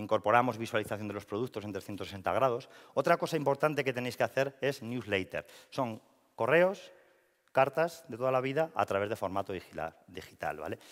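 Against a quiet background, a man talks at a moderate pace with lively intonation. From La Rioja, Spain (Logroño); La Rioja, Spain. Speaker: marketing and communications professional; speaker. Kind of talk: presentation talk. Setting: stage with audience. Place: hall. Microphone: headset.

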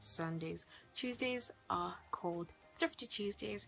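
A woman talks at a fairly slow pace, with faint music behind her. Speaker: youtuber. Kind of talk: casual vlog chat. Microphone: phone near.

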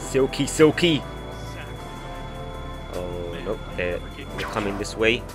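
A man speaks in a playful tone with very wide pitch swings. Music plays in the background. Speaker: gaming YouTuber. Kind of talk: casual gameplay commentary. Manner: playful, excitable.

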